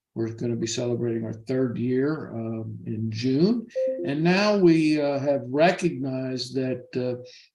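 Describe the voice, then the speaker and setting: A man talks at a fairly slow pace in a medium-pitched voice with ordinary variation. Room echo is audible. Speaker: financial advisor. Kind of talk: interview.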